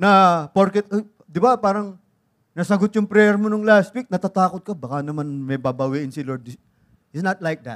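In a very clean recording with a silent background and a dry, close sound with no echo, a man with a Filipino accent speaks at a high pitch and a fairly quick pace. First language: Tagalog. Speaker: pastor. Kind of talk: sermon. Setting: church.

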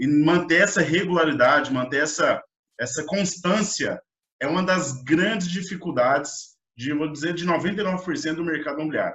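High-pitched male speech, moderate in pace and ordinary in pitch variation. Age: 20s. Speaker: podcast host. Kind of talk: interview.

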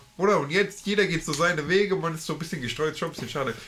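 Very fast and bright with a sharp edge, a man's voice moves with ordinary pitch variation. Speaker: podcast co-host. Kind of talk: casual chat.

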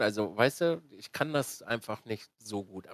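This man's voice swings very widely in pitch, and the sound is dry and close with no echo. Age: 30s. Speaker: streamer and podcast host. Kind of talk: casual chat.

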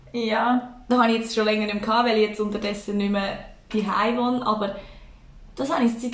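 A woman speaks very fast at a fairly high pitch, her intonation flat and monotone. Noticeable background noise and audible room echo fill the recording. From Switzerland, Aargau (Endingen). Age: 20s. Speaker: podcast co-host, daycare worker. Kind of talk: casual chat.

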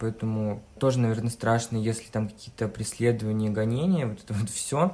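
A man speaks in an unremarkable speaking voice at a medium pitch. His pace is moderate and his pitch variation is ordinary. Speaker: hairdressing student and blogger. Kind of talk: casual chat. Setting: video call.

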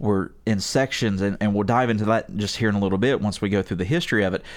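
A normal speaking voice at a fairly quick pace, on a very clean recording with a silent background. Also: man. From West Virginia. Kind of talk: casual chat. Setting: studio.

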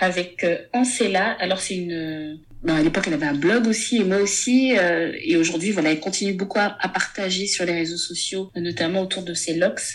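A woman with a medium pitch speaks at a moderate pace with ordinary pitch variation and hardly any pauses, over noticeable background noise. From Gabon. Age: 30s. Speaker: book club founder and content creator. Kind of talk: casual interview. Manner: hesitant, with frequent fillers.

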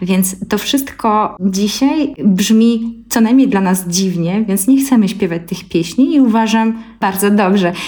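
A woman speaks very slowly, with hardly any pauses. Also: medium pitch for a woman, ordinary pitch variation. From Belarus, Gomel Polesia. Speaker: ethnomusicologist and singer. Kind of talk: interview.

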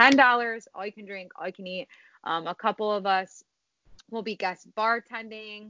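Speaking at a moderate pace, a woman with a fairly high voice keeps her intonation fairly even while her loudness swings widely. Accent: Chicago. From Illinois, Chicago suburbs. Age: 20s. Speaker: college cheer coach. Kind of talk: casual interview.

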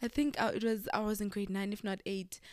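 Speaking at a fairly quick pace, a woman sounds animated. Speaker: podcast co-host. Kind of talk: casual chat.

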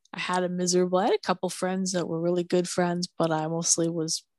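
A woman with a fairly low pitch speaks at a fairly quick pace in an American accent, the sound dry and close with no echo. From Minneapolis, US Midwest. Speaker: blind podcaster. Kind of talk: casual chat.

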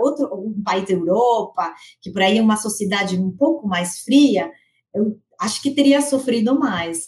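A somewhat breathy woman with a Spanish accent, fairly high pitch, lively intonation and a fairly slow pace. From Argentina. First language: Spanish (speaking Portuguese). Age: 40s. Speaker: corporate HR director. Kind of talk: interview.

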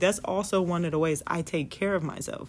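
A woman talks at a fairly quick pace. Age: 20s. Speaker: vlogger. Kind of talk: casual monologue. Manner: halting.

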